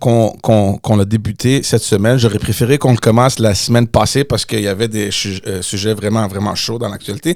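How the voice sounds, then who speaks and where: At a fairly quick pace, a man with an English accent speaks at a medium pitch. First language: English (speaking French). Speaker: podcast host, former politician. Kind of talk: casual chat. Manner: halting, repeats words.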